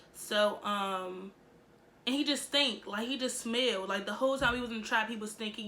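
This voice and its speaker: Amid noticeable background noise and audible room echo, a woman speaks quickly-ish at a fairly high pitch with fairly even intonation. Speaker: YouTuber. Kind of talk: storytime vlog. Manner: casual, filler-heavy.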